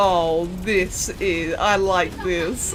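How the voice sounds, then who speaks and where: A woman is speaking with music in the background. Room echo can be heard. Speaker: gaming youtuber. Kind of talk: gameplay commentary. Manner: animated; fast.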